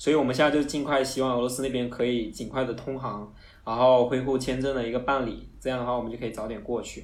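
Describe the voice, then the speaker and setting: A man talks at a very fast pace with a medium pitch. His intonation is monotone and flat, and there is audible room echo. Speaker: foreign trade employee. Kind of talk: casual interview.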